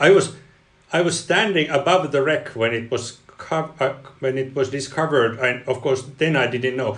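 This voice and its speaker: A man with a Finnish accent and ordinary pitch variation. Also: medium pitch for a man, moderate pace. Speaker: engineering professor and ice researcher. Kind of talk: interview. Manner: halting, many repeated words.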